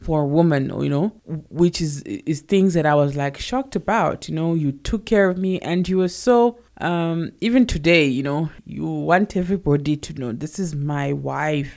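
The speaker has a South African accent and a moderate pace. The recording is very clean with a silent background. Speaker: podcast co-host. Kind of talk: casual chat.

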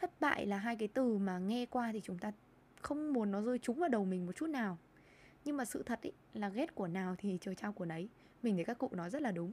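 A woman's plain, everyday voice, fairly high-pitched, with a fairly quick pace and lively intonation. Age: 20s. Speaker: podcast host and lifestyle blogger. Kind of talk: solo podcast monologue.

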